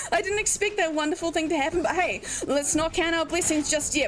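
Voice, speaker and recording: With noticeable background noise around her, a woman talks in a high pitch. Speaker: speedrunner. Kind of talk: live gameplay commentary. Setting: livestream. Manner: animated.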